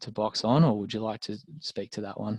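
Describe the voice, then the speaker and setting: A man with an Australian accent speaks at a fairly quick pace with a fairly low pitch and a dark, mellow tone, with a dry, close sound and no echo. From Australia, rural Victoria. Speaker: lawyer. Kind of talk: webinar presentation. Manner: fast.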